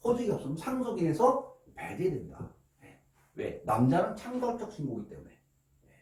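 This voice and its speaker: The man's high voice makes very wide pitch swings while keeping a moderate pace. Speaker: law office manager explaining inheritance law. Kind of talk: lecture. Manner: speeds up as he goes.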